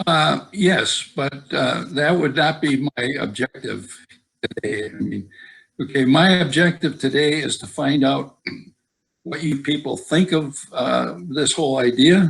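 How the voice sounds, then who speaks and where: Speaking with an American accent, a man uses a fairly high pitch and some vocal fry. He goes at a fairly slow pace with ordinary pitch variation. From eastern Wisconsin. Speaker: senior center member teaching memoir making. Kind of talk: casual discussion on video call. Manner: halting, many fillers.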